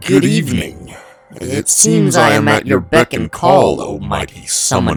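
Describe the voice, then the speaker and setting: A man uses a put-on character voice, very deep and low in pitch. He delivers it at a fairly slow pace. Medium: read story. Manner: theatrical, wheedling.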